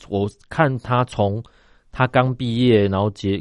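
A man with fairly even intonation. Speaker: company founder and general manager. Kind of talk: radio interview. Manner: halting, many filler sounds.

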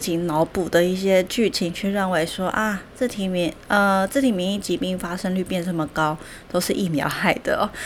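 Fairly even intonation carries this fairly slow speech. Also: woman. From Taiwan. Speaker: podcast host, nutrition educator. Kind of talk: solo educational talk. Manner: hesitant with many fillers.

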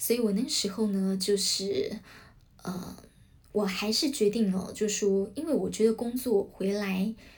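Somewhat breathy, a woman speaks at a fairly slow pace and a medium pitch with ordinary pitch variation. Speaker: podcast host, former news channel worker. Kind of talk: solo podcast talk. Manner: many filler sounds, hesitant.

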